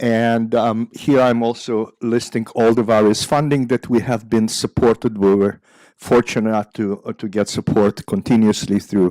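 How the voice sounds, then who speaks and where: A man with an Israeli accent at medium pitch, dark and mellow in tone, moderately paced with hardly any pauses and fairly even intonation, on a very clean, dry, close recording with a silent background and no echo. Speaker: psychiatry professor. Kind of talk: lecture. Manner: halting, many fillers.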